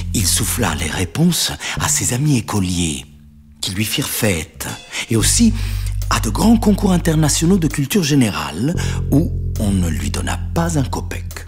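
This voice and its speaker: With music in the background, the speaker talks at a fairly slow pace, leaving long, frequent pauses. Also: man. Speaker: narrator. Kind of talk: read story.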